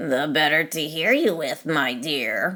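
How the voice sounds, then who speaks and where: A woman's put-on character voice, growling at a very deep, low pitch and a fairly slow pace. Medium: read story. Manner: sly.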